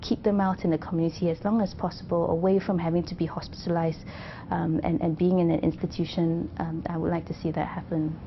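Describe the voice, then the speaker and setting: Speaking at a very fast pace, a woman uses a fairly low pitch. Her intonation stays fairly even. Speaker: cancer doctor. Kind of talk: interview answer.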